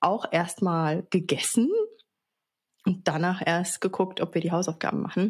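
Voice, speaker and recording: A woman speaks in a medium pitch, somewhat breathy, with fairly even intonation. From Baden-Baden, Germany. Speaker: podcast co-host. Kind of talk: casual chat.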